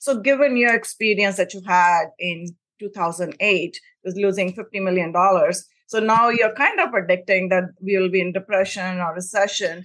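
A woman with an unremarkable speaking voice talks at a medium pitch and moderate pace, with ordinary pitch variation. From immigrant to the US. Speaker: podcast host. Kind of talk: interview.

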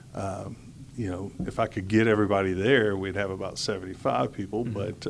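A plain, everyday voice belongs to a man with a fairly low pitch. He keeps a moderate pace and fairly even intonation. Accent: American. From Houston, Texas. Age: 40s. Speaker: school staff and pastor. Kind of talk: interview.

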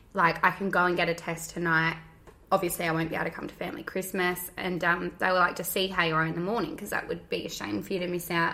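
The woman speaks very fast in a monotone, flat way. Her pitch is fairly low. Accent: Australian. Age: 20s. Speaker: podcast co-host, mother. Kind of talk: scripted intro; casual chat.

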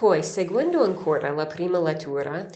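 Speaking in an English accent at a fairly low pitch and a fairly slow pace, a woman shows ordinary pitch variation amid noticeable background noise and audible room echo. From United States. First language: English (speaking Italian). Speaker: nun giving daily catechesis. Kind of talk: scripture reflection. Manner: some hesitations.

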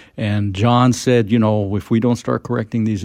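A man with an American accent and a plain, everyday voice speaks at a fairly low pitch with ordinary pitch variation over a quiet background. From expat childhood in France, American parents. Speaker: environmental advocacy leader. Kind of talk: radio interview.

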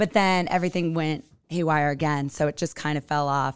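A woman with an American accent has a very deep, low pitch and fairly even intonation. The recording is very clean, with a silent background. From California. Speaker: venue co-owner. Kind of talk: casual podcast interview. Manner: fast talker.

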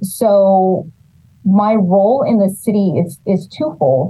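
This woman has an American accent and a medium pitch. Her voice is somewhat breathy. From California Central Valley, Los Banos. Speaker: city economic development director. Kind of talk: interview.

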